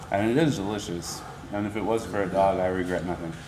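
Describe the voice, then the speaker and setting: A fairly low-voiced man mumbles quietly at a fairly quick pace, with ordinary pitch variation. Audible room echo and noticeable background noise surround him. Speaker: podcast host. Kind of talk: casual chat. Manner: quiet, mumbles in conversation.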